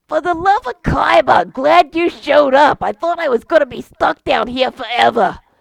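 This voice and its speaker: The put-on character voice is high-pitched and wheezy. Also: moderate pace. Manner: relieved, weary.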